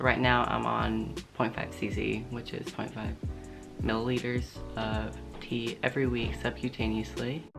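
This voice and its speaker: Over music in the background, a man speaks with a very deep, low pitch. His pace is moderate, and his pitch makes very wide swings. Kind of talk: casual talk to camera.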